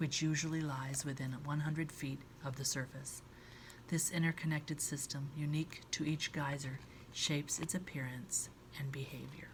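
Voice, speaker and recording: A soft-spoken woman talks at a very deep, low pitch, somewhat breathy. Her intonation is monotone and flat. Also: moderate pace. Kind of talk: ASMR book reading, soft-spoken.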